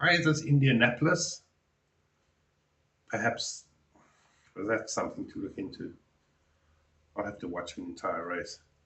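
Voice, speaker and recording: A man with a South African accent at a moderate pace, with big swings in loudness and long, frequent pauses. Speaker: reaction youtuber. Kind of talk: reaction commentary. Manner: halting.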